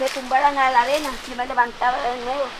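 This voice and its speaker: A woman speaks at a moderate pace with a high pitch. Her intonation is monotone and flat over noticeable background noise. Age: 70s. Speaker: elderly woman facing eviction. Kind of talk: testimony.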